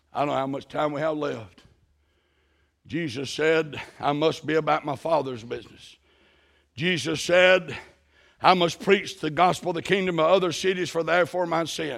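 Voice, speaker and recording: At a moderate pace, a man speaks with a fairly high pitch and ordinary pitch variation, leaving long, frequent pauses. The recording is very clean, with a silent background. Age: 60s. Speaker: missionary preacher. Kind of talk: sermon. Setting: church.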